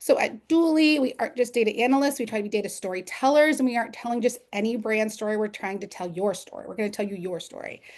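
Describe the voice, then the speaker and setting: Big swings in loudness mark this woman's fairly high-pitched voice, which has ordinary pitch variation. She talks at a very fast pace with hardly any pauses. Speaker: analytics lead presenting a webinar. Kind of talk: webinar presentation.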